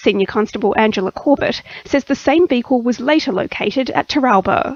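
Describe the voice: A woman talks at a fairly quick pace and a fairly high pitch, in a dry, close sound with no echo. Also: ordinary pitch variation.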